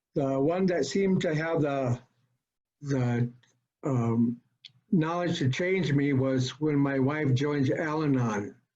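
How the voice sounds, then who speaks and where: Very slow speech from a man with a fairly high pitch, ordinary pitch variation, very even loudness and long, frequent pauses. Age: 70s. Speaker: recovering alcoholic speaker at support group. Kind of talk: personal testimony. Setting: video call. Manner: halting, many fillers.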